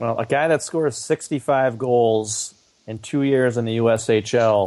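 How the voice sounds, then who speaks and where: With a normal speaking voice, a man keeps his intonation fairly even at a medium pitch. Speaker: co-host sports podcaster. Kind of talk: casual sports podcast chat.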